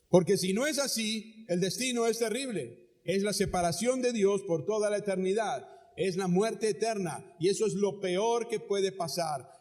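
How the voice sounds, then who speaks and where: A man with a high-pitched voice speaks in a room with audible echo. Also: ordinary pitch variation, moderate pace. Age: 60s. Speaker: pastor. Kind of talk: sermon. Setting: church auditorium, live.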